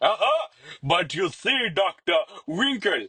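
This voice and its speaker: Putting on a character voice, a man drawls at a fairly slow pace in a high, raised, projected voice with very wide pitch swings. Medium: read story. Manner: drawling, flamboyant, playful.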